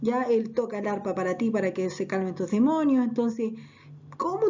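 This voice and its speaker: Over noticeable background noise, a woman with a fairly high pitch speaks at a fairly quick pace with lively intonation. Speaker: Bible teacher. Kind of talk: Bible class. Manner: conversational storytelling.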